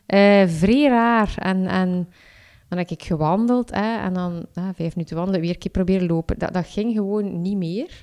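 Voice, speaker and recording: A woman speaks with a Flemish accent and a dark, mellow tone. The recording is very clean, with a silent background. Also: medium pitch for a woman, ordinary pitch variation, moderate pace. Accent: Flemish Dutch. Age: 30s. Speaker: freelance copywriter and amateur marathon runner. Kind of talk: casual interview. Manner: halting, many fillers and repetitions.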